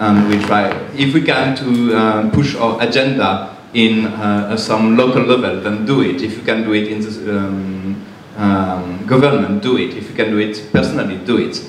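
A man with a French accent speaks at a moderate pace and fairly low pitch with fairly even intonation, amid audible room echo and light background noise. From France. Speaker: climate activist; panelist. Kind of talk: panel discussion. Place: hall.

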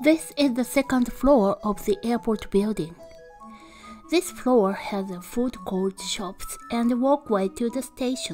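Over music in the background, a woman speaks at a very slow pace with lively intonation. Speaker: travel channel narrator. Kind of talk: travel voice-over narration.

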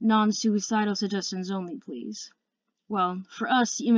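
Against a quiet background, a natural reading voice keeps a fairly even intonation.

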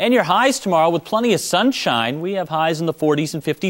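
This is a man speaking against a quiet background. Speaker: TV meteorologist. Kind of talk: local TV weather forecast, reading temperatures and fog advisories off a map. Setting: TV studio. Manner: steady, friendly newsroom delivery, brisk run through town-by-town numbers; calmly cautionary, adds gentle safety reminders to viewers. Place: studio.

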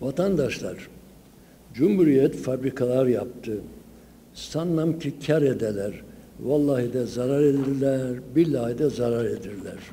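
A man speaks at a very slow pace with ordinary pitch variation amid light background noise. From Sivas, Turkey; Turkey. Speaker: folklore professor. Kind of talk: conference lecture. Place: hall. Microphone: podium.

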